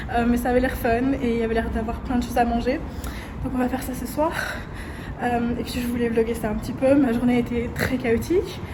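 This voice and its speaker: A woman's high-pitched voice comes through noticeable background noise and audible room echo. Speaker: vlogger. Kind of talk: casual vlog. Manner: fast; loud.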